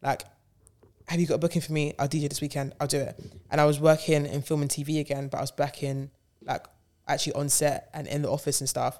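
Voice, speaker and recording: Her pitch very deep and low, a woman speaks at a very fast pace with monotone, flat intonation. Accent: London. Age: 20s. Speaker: DJ and radio presenter. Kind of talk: casual chat.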